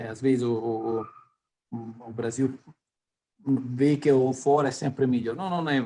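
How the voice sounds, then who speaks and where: Fairly slowly and with long, frequent pauses, a man with an Italian accent speaks in a dark, mellow tone at medium pitch with fairly even intonation. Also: big swings in loudness. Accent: non-native Portuguese, Italian-tinged. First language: Italian (speaking Portuguese). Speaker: company executive. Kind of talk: interview. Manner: halting, many fillers.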